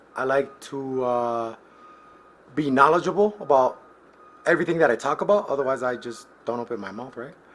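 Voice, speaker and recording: A man's medium-pitched voice with an American accent, lively intonation, big swings in loudness, long, frequent pauses and a moderate pace, over noticeable background noise. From US Midwest. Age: 30s. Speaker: collections agent. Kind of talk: casual self-introduction.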